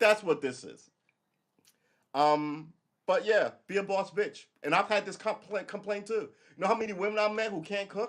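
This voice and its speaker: A loud, animated man with an American accent, high in pitch with ordinary pitch variation, at a moderate pace with long, frequent pauses. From New York. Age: 50s. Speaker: live streamer. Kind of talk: casual livestream monologue.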